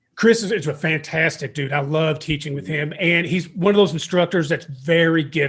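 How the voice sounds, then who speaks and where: A man with an Eastern Kentucky accent, moderate pace, ordinary pitch variation and hardly any pauses. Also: fairly high pitch for a man. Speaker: podcast host and fire service instructor. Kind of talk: casual interview chat. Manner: animated.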